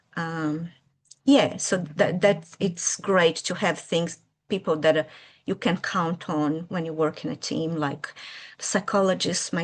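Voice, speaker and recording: The speaker talks at a fairly slow pace in a Brazilian Portuguese accent against a quiet background. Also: woman. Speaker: early childhood educator and children's author. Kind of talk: interview. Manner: hesitant, with fillers.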